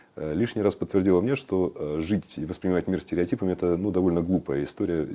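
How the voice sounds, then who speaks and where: Over a quiet background, a man speaks with a very deep, low pitch, a dark, mellow tone, and ordinary pitch variation. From Western Siberia. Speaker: cultural activist. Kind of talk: interview. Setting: studio. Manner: halting.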